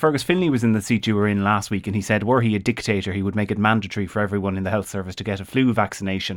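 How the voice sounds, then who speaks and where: A man with an Irish accent and a fairly low pitch talks at a very fast pace with hardly any pauses and fairly even intonation. The recording is very clean, with a silent background. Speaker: radio presenter. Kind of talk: newspaper review discussion.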